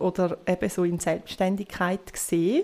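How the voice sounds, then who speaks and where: A dark, mellow tone with monotone, flat intonation. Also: woman. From Switzerland, near Rapperswil on Lake Zurich. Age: 30s. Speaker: astrologer. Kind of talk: interview, explaining.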